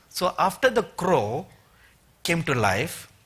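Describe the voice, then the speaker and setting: A man speaks with an Indian accent in a high pitch. His tone is bright and sharp. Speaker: preacher. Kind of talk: sermon.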